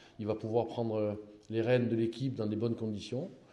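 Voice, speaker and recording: The tone is dark and mellow, and audible room echo surrounds it. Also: man. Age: 60s. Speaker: football coach. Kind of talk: press conference. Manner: halting, many repetitions.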